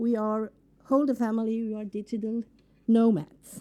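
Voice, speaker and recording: A woman speaks at a fairly slow pace with a non-native accent. Her pitch sits fairly high. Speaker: entrepreneur and workshop speaker. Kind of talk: conference workshop.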